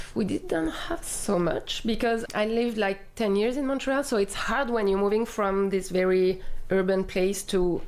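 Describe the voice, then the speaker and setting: A woman talks at a moderate pace in a medium pitch. Her ordinary pitch variation comes through noticeable background noise. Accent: French. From southern France. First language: French. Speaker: community life coordinator. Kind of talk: casual interview. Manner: halting, with fillers.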